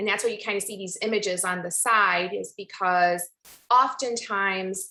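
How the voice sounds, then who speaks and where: Speaking with a Chicago accent, a woman has a bright, sharp tone. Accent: Chicago American English. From Chicago Heights, Illinois, US. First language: Spanish. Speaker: pharmacist and academic. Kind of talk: presentation talk.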